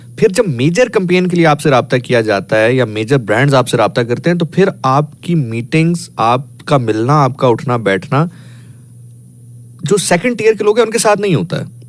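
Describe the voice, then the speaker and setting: This man's voice sits at a fairly high pitch and swings very widely up and down. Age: 30s. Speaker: radio host. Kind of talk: casual chat.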